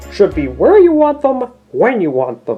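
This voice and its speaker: Someone uses a put-on character voice with a fairly high pitch, at a moderate pace. Faint music plays in the background. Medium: read story. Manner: grumbling, fussy.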